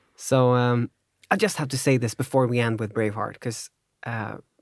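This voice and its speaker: With a Swedish accent, a man speaks at a moderate pace and a medium pitch. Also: very clean recording, silent background. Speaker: podcast host. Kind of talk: casual chat.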